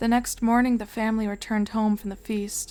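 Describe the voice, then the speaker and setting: The recording is very clean, with a silent background. A woman speaks at a fairly high pitch in a monotone, flat intonation. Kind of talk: horror story reading.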